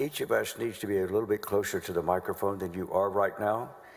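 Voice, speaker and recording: A man with a Southern US accent speaks in a fairly low pitch. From North Carolina. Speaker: prosecutor. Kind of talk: courtroom examination. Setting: legislative chamber courtroom.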